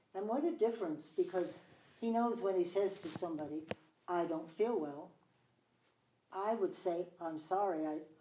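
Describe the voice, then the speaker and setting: With a dark, mellow tone and ordinary pitch variation, the voice moves at a moderate pace through long, frequent pauses, and audible room echo surrounds it. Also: woman, medium pitch for a woman. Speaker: talk show host. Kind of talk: casual interview chat. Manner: loud.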